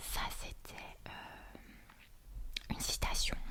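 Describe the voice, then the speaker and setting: Noticeable background noise is present. Over it, a woman whispers. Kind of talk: whispered reading of a book. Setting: quiet room with crackling fire sound. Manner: whispered, slow.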